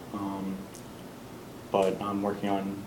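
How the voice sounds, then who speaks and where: A man speaks with a fairly low pitch. Noticeable background noise and audible room echo are present. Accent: American. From Massachusetts, Wellesley. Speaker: student entrepreneur. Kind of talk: class introduction.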